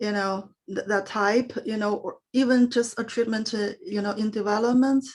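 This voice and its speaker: With a non-native accent, a woman speaks at a fairly high pitch and moderate pace, somewhat breathy, with fairly even intonation and hardly any pauses. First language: not English. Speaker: parent asking a question. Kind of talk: audience question. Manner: halting, many fillers.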